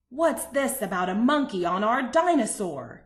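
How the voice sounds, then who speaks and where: A woman's put-on character voice, growling and high-pitched, with very wide pitch swings. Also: moderate pace. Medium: read story. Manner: brusque, commanding.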